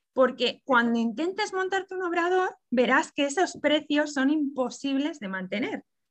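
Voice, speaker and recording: The speaker goes at a fairly slow pace with lively intonation and hardly any pauses. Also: woman, high pitch for a woman. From Catalonia, Barcelona. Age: 30s. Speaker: pastry chef. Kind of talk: interview.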